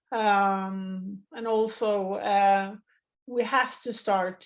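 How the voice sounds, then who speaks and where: A woman speaks with a Norwegian accent. The background is quiet. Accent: non-native English, Norwegian. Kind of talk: interview. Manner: halting, many fillers.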